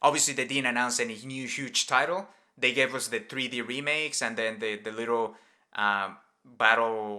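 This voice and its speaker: Speaking at a moderate pace with a Spanish accent, a man has a medium pitch, a bright, sharp tone and fairly even intonation on a very clean recording with a silent background. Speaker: gaming podcast host. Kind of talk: casual chat.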